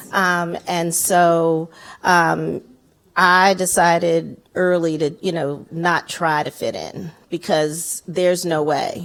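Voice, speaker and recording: In a very clean recording with a silent background, a woman speaks very slowly at a fairly low pitch. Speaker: activist. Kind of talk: panel discussion. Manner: loud; animated.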